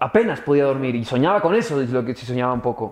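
A man speaks in a plain, everyday voice. He goes at a fairly quick pace with lively intonation. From raised abroad, Canada and the Netherlands. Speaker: actor. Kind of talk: casual chat.

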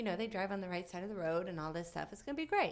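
A woman with an American accent, an unremarkable speaking voice, fairly low pitch and ordinary pitch variation. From southwestern Virginia, US. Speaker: actress and comedian. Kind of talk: casual chat.

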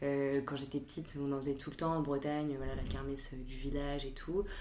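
A woman's very deep, low voice comes through with audible room echo. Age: 20s. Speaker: recent graduate. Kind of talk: casual chat.

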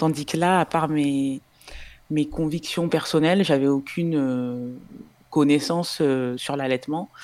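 A woman speaks at a very deep, low pitch. Her pace is very slow and her intonation fairly even. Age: 30s. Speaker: tech project manager and breastfeeding mother. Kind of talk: interview testimony. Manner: hesitant, many fillers.

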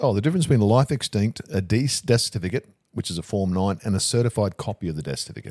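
A man with an Australian accent talks very fast at a fairly low pitch, with a dark, mellow tone and lively intonation, in a dry, close sound with no echo. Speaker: funeral director. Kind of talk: casual chat.

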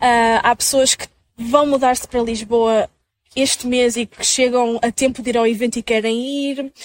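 The delivery is monotone and flat at a moderate pace. The sound is dry and close, without any echo. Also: woman, high pitch for a woman. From northern Portugal (Minho). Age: 20s. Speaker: content creator and social media manager. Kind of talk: interview conversation.

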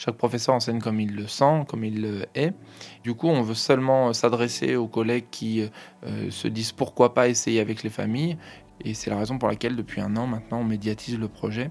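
Here is a man with an ordinary speaking voice at medium pitch. He keeps a moderate pace and fairly even intonation. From Paris region (Hauts-de-Seine). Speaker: high school teacher. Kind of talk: interview testimony.

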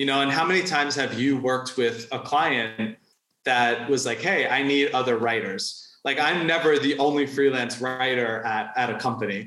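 This is a normal speaking voice at a moderate pace. Its pitch varies in an ordinary way. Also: man, medium pitch for a man. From New York. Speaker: freelance writer and content strategist. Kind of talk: interview conversation.

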